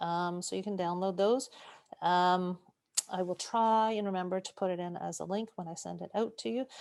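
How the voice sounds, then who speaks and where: Ordinary pitch variation runs through a woman's voice, which sits at a medium pitch. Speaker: cancer nutrition educator. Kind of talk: webinar Q&A. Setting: video call webinar. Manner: fast.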